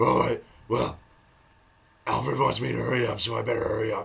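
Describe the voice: At a fairly quick pace, a man performs in a put-on character voice.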